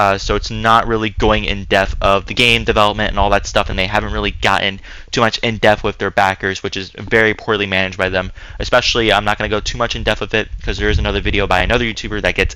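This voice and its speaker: A man speaks very fast as noticeable background noise carries on around him. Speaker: gaming YouTuber. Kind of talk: commentary video. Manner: monotone; hesitant, many filler words.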